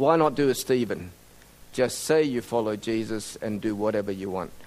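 With an Australian accent, a man talks at a moderate pace, his medium pitch showing ordinary variation. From Sydney, Australia (emigrated from Indonesia at 10). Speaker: mission organization director and medical doctor. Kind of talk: sermon-style talk to a church group.

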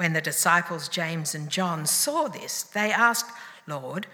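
Over noticeable background noise, a woman speaks at a fairly slow pace. Her pitch is fairly low, with ordinary variation. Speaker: scripture reader. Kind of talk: reading aloud. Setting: church.

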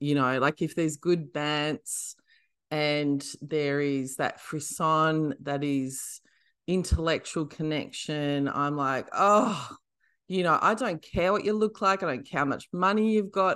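Speaking very slowly, a woman with an Australian accent has a very deep, low pitch. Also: ordinary pitch variation, quiet background. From Western Australia, country town. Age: 40s. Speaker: comedian and author. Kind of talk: casual chat.

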